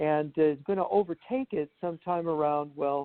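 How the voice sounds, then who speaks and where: Lively intonation and a moderate pace in an unremarkable speaking voice. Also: man. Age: 60s. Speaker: journalist and writer. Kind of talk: interview.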